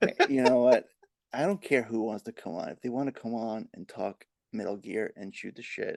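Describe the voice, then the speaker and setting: A man speaks at a moderate pace and medium pitch with lively intonation. His loudness swings widely in a dry, close sound with no echo. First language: Spanish. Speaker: podcast host. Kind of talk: casual chat.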